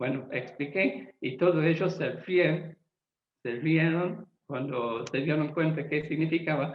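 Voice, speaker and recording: A man's fairly high voice at a very slow pace. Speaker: Bible translator. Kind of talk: lecture. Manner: halting with fillers and self-repairs.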